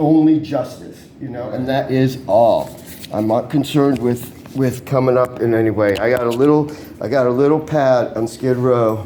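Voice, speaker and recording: Against noticeable background noise and audible room echo, a man talks at a moderate pace in a medium pitch with fairly even intonation. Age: 60s. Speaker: vlogger reporting a crime. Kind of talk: casual chat. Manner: repetitive, halting.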